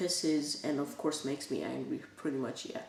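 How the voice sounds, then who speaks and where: A woman with a Bulgarian accent speaks with ordinary pitch variation, amid audible room echo and noticeable background noise. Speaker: youtuber. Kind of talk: casual vlog talk. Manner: halting.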